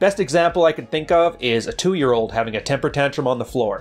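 A man speaks fairly quickly with ordinary pitch variation while faint music plays in the background. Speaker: relationship commentator. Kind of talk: commentary. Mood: serious, explanatory. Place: home room.

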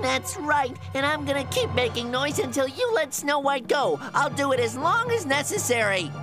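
A cartoonish character voice, female-sounding, at a moderate pace over loud music in the background. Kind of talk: cartoon dub hero. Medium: audio drama. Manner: earnest, excitable, loyal.

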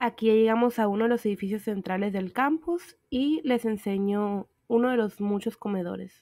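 In a very clean recording with a silent background, a woman speaks in a fairly high pitch with a dark, mellow tone. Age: 20s. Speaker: exchange student vlogger. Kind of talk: narrated campus tour vlog.

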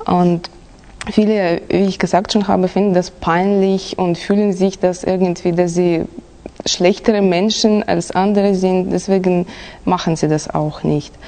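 A woman's monotone, flat delivery at a fairly slow pace, very even in loudness, over noticeable background noise. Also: medium pitch for a woman. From Kazakhstan. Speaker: exam candidate. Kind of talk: oral language exam. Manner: halting.

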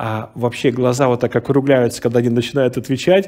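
Speaking fairly quickly with fairly even intonation, a man has a dark, mellow tone over a quiet background. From Russian Far East, Vladivostok; Russia. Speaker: pastor. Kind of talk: sermon. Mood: warm, storytelling. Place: hall.

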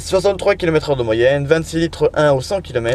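A man's fairly high voice at a fairly quick pace, lively in intonation, with a dry sound and no echo. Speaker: truck driver vlogger. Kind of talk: casual vlog monologue. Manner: fast; hesitant, many fillers. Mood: relaxed, end of day. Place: car. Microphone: phone near.

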